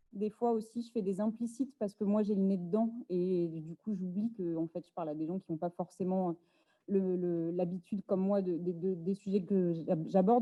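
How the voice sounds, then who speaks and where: Delivered at a moderate pace in a normal speaking voice, the speech has fairly even intonation and a dry, close sound with no echo. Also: woman. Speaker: activist and speaker. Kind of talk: lecture.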